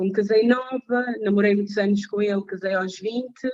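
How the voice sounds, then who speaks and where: The woman speaks at a moderate pace, her medium pitch showing ordinary variation. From Portugal (born in Mozambique). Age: 30s. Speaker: support group facilitator. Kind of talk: testimony. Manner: hesitant, many fillers.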